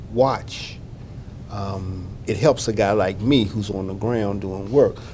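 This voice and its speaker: A man with an American accent, with audible room echo and noticeable background noise. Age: 60s. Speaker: health outreach manager. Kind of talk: interview. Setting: conference. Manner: halting, many fillers.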